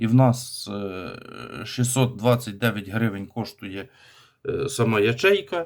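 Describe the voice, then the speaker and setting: The recording is very clean, its background silent. A man's voice sits at a medium pitch. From Ukraine, rural village. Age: 30s. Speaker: DIY video blogger. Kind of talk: tutorial.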